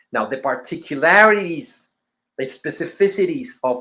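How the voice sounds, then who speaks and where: With lively intonation, a man speaks at a fairly slow pace with a non-native accent. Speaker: teacher of symbolism. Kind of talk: lecture. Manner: halting, with false starts.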